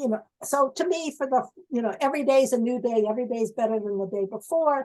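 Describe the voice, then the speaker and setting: A woman speaks at a very fast pace. Her high voice shows ordinary pitch variation. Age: 70s. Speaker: retired professor and biostatistician. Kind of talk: Q&A after talk. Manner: halting.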